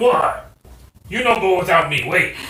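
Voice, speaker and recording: At a moderate pace, a man does a put-on character voice pitched high, with a slight echo. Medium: actual play. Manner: broken simple speech.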